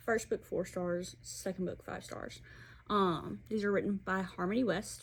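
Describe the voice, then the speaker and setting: Speaking at a fairly slow pace with an Alabama accent, a woman is heard in a very clean recording with a silent background. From Alabama, US South. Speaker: book reviewer. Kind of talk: casual book review vlog.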